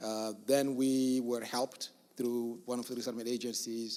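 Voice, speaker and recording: A man talks at a moderate pace in a medium-pitched voice. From outside the US, came as a refugee in middle school. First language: not English; English is seventh of seven languages. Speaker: refugee resettlement program director. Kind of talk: town hall talk. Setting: church hall with audience. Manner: hesitant, many fillers.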